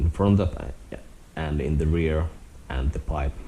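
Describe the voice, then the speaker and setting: Speaking with a Finnish accent, a man uses a very deep, low pitch and fairly even intonation. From Finland. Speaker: motorcycle vlogger. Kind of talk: casual vlog walkaround. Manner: halting.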